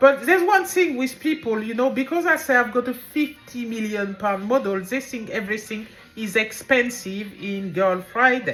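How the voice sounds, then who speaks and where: Music in the background beneath a woman with a French accent, high pitch, lively intonation, moderate pace and hardly any pauses. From France. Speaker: business owner and author. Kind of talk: casual monologue. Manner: rambling, informal.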